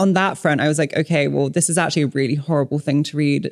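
Against a silent background on a very clean recording, a woman speaks with a very deep, low pitch, vocal fry and fairly even intonation, the sound dry and close with no echo. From Hong Kong and Malaysia. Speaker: author. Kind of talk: casual chat.

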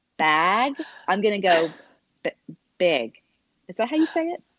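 A woman with an Oklahoma accent speaks at a moderate pace, her pitch swinging very widely, in a dry, close recording with no echo. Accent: Southern (Oklahoma). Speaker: podcast co-host. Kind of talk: casual chat.

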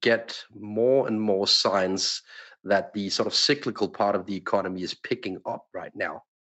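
Fairly low-pitched and at a moderate pace, a man's unremarkable speaking voice. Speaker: macro analyst. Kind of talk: panel discussion on markets.

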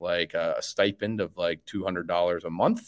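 A man speaks in a Chicago accent. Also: very clean recording, silent background. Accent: Chicago American. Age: 30s. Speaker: sports podcaster. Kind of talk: casual interview chat.

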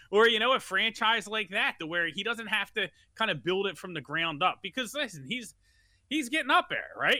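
Very wide pitch swings mark this fairly quick delivery in an American accent. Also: man. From Philadelphia. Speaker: sports talk co-panelist. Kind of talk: casual chat. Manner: halting, many fillers.

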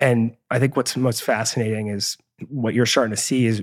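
A man speaks in a plain, everyday voice at medium pitch, fairly quick in pace with ordinary pitch variation, in a dry, close sound with no echo on a very clean recording with a silent background. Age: 30s. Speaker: stem cell bank founder. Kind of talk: interview.

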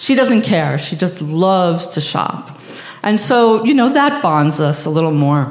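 A woman with a New York accent speaks at a fairly slow pace, her fairly low pitch swinging very widely. Audible room echo and noticeable background noise surround her. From Long Island, New York. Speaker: storyteller. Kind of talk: live storytelling.

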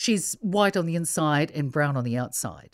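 A woman's very deep, low voice with very wide pitch swings. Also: very clean recording, silent background. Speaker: radio newsreader. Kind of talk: interview.

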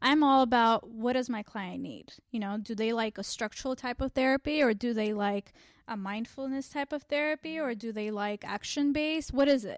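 A woman with a normal speaking voice, a fairly high pitch, ordinary pitch variation and a moderate pace, in a dry, close sound with no echo against a quiet background. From Armenian community, US. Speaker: family therapist. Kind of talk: interview.

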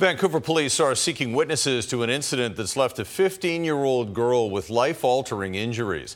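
On a very clean recording with a silent background, a man with a normal speaking voice and medium pitch talks at a fairly quick pace with lively intonation. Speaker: news anchor. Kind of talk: TV newsreading, anchor introductions. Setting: TV studio. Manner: formal, measured, polished anchor delivery.

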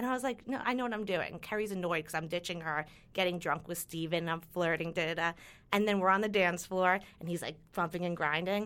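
A woman with a New York accent, fairly low-pitched, talking very fast with ordinary pitch variation. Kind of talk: casual chat.

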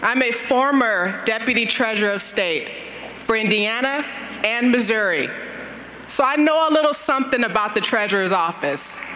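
Fairly high-pitched woman with an American accent, lively intonation, very even loudness and a moderate pace, over noticeable background noise and audible room echo. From Compton, California. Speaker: former state official. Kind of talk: speech introduction. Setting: stage with audience.

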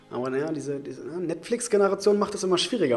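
Over noticeable background noise, a man talks very fast, his pitch swinging very widely. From Leipzig, eastern Germany. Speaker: podcast host at hair clinic. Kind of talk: casual chat. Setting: studio.

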